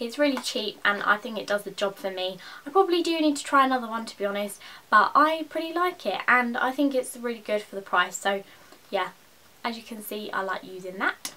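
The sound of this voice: Speaking at a fairly quick pace, a woman has a fairly high pitch, a bright, sharp tone and ordinary pitch variation.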